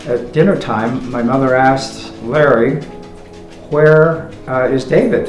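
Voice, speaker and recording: Medium pitch from a man with a western US accent, plus audible room echo and music in the background. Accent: western American. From Utah, Salt Lake City. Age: 80s+. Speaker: interviewee recalling his life. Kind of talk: life story interview. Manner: halting, many fillers.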